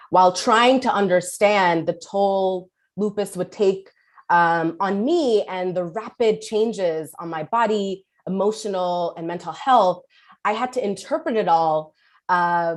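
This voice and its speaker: Against a quiet background, a woman with a New York accent talks fairly slowly at medium pitch with ordinary pitch variation. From New York City (Kensington, Brooklyn). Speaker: politician. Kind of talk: speech.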